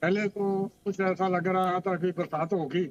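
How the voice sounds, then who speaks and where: Heard in a dry, close sound with no echo, a man speaks in a high pitch with monotone, flat intonation. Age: 80s+. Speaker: local resident interviewed. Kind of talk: street interview.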